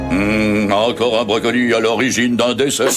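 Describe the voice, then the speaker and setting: Over loud background music, a man uses a cartoonish character voice at a moderate pace. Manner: dry, wry.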